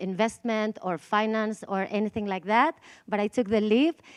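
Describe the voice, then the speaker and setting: A woman with a Spanish accent at a fairly high pitch, in a dry, close sound with no echo over a quiet background. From Spain. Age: 40s. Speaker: conference speaker, DAO co-founder. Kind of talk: conference talk. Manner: halting, with many fillers.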